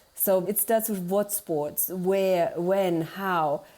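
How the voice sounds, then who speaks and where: The voice has a dark, mellow tone and a German accent. It moves at a very slow pace with fairly even intonation. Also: woman. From Germany. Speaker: marketing consultant. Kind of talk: interview.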